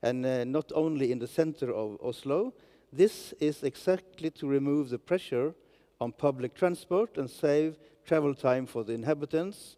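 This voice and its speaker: Recorded with a dry, close sound and no echo, a man talks at a moderate pace in a fairly high pitch, with a dark, mellow tone and ordinary pitch variation. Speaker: regional politician. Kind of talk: panel discussion. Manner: halting.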